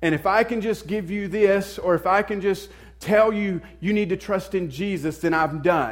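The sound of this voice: This man has a high pitch and a Southern US accent. His pace is moderate, with ordinary pitch variation.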